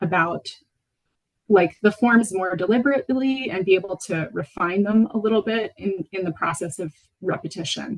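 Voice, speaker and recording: This woman's pitch sits in the medium range. There is a somewhat breathy quality to it. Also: dry, close sound with no echo. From Venezuela (Caracas), international school, American mother. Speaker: potter. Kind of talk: lecture. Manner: hesitant, many fillers.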